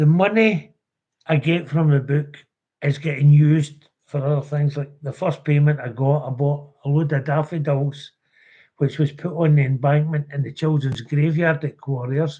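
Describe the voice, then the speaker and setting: Speaking with a west of Scotland accent, a man with fairly high pitch and a dark, mellow, somewhat breathy tone keeps a moderate pace and fairly even intonation. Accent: Scottish (west of Scotland). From Scotland, Renfrewshire. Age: 70s. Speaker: orphanage survivor and campaigner. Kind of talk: live stream testimony.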